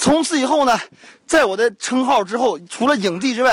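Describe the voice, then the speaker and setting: With an animated tone, a man talks at a moderate pace in an extremely high pitch, using ordinary pitch variation. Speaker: radio host. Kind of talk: casual travel commentary. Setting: outdoors on a mountain.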